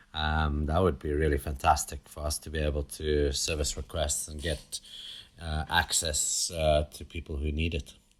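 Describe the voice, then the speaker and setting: A somewhat breathy man with a South African accent, very deep and low in pitch, monotone and flat in intonation, with big swings in loudness. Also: moderate pace. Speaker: nonprofit team member. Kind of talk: interview.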